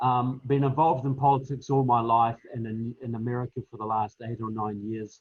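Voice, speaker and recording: At a fairly quick pace, a man with a New Zealand accent talks at a medium pitch with fairly even intonation and big swings in loudness. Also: hardly any pauses. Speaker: political author and speaker. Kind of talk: panel discussion.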